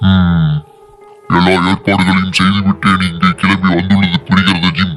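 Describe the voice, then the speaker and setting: In a put-on character voice, a man rumbles at a very deep, low pitch with a fairly slow pace, very even loudness and monotone, flat intonation, while clear music plays in the background. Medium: read story. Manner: grumbling, weary.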